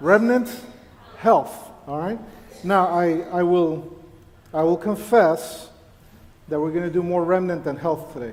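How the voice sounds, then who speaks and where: Noticeable background noise sits behind a high-pitched man who talks fairly slowly with ordinary pitch variation and long, frequent pauses. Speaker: church elder and physician delivering a sermon. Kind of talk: sermon to a congregation.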